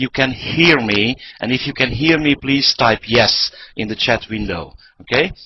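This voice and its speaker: Speaking at a fairly slow pace in a Hungarian accent, a man uses a fairly high pitch. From Hungary. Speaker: network marketing presenter. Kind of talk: sales pitch. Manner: halting.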